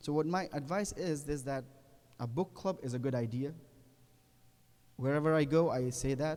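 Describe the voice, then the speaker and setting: A man with a non-native accent speaks at a moderate pace and a fairly high pitch, with a dark, mellow tone. His pitch variation is ordinary, and he leaves long, frequent pauses. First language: not English. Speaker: Islamic cleric. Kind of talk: religious lecture. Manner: halting, self-correcting.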